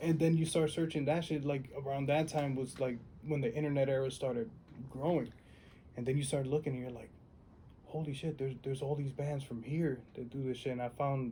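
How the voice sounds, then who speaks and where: A man's somewhat breathy voice, dark and mellow in tone, fairly high in pitch, at a fairly quick pace. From New York City, South Bronx. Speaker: musician. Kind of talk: oral history interview. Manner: casual, animated.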